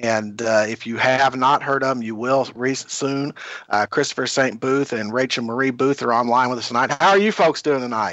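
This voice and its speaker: Speaking at a moderate pace, a man with a Kentucky accent uses a medium pitch and ordinary pitch variation. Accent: Kentucky Southern US. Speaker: podcast host. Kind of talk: casual interview.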